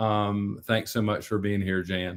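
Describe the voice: A man's clear, smooth tone at a fairly low pitch, with a North Carolina accent, a fairly slow pace and little pitch movement. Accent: American South, North Carolina.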